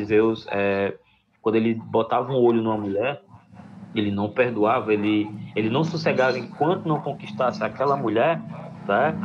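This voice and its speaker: There is audible room echo as a man speaks at a moderate pace, his medium pitch showing ordinary variation. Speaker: school teacher. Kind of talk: lecture. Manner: halting.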